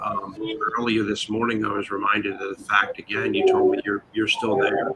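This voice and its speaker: Noticeable noise fills the background. Through it comes a man's voice. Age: 60s. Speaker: online show host. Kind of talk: casual chat.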